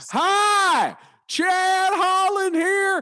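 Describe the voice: Someone uses a put-on character voice pitched extremely high.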